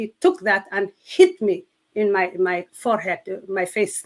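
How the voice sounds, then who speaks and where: A woman with a Somali accent and lively intonation. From Somalia. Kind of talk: testimony. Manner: halting.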